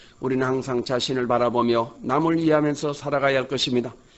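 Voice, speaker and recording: Here a man speaks at a moderate pace. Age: 70s. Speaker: pastor. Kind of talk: sermon. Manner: formal.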